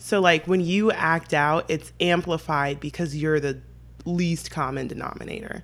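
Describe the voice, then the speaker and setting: A woman's very deep, low voice holds fairly even intonation at a moderate pace. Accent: American. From San Diego, California. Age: 20s. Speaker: podcast guest. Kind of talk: casual chat.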